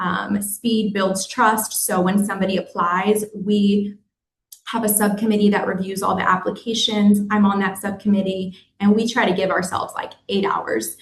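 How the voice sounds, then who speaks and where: A somewhat breathy woman at medium pitch, moderate pace and flat, monotone intonation. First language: Spanish. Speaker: destination organization staffer running hospitality worker relief fund. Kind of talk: webinar presentation. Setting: virtual forum.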